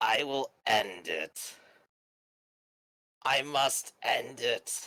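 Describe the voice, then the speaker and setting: Putting on a character voice, a man with a medium pitch talks very slowly in a raspy, guttural way. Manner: ominous.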